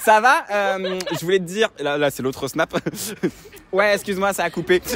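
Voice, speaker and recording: Against noticeable background noise, a man speaks at a high pitch with an animated tone, ordinary pitch variation and a moderate pace, in a dry, close sound with no echo. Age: 20s. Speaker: comedian. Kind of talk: storytelling to camera; casual chat.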